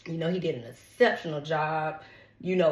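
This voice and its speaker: Audible room echo surrounds a woman with an American accent and a fairly low-pitched voice. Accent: Southern US accent, commented on by viewers. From Atlanta, Georgia (College Park), US South. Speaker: tarot reader, celebrity gossip YouTuber. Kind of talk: casual chat, tarot reading. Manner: chatty, animated.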